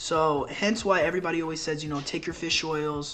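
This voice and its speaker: Noticeable background noise under fairly fast-paced talking. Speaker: health coach. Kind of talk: informal tutorial. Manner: casual, filler-heavy.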